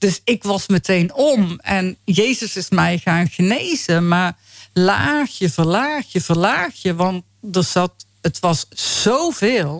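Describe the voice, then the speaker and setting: Speaking very slowly in a Brabant accent, a woman keeps a medium pitch and lively intonation. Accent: Brabant Dutch. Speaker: faith healing ministry founder. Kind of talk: testimony. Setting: radio studio.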